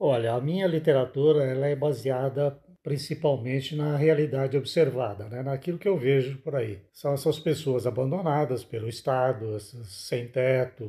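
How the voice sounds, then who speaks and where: The voice is somewhat breathy with a dark, mellow tone and ordinary pitch variation. It moves at a moderate pace with hardly any pauses. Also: man, medium pitch for a man. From Brazil, Minas Gerais. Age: 60s. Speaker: author. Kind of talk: interview.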